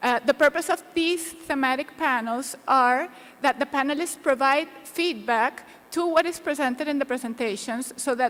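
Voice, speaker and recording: Noticeable background noise sits behind a woman with a high pitch. She speaks at a moderate pace with ordinary pitch variation. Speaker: panel moderator. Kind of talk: conference presentation. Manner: soft-spoken.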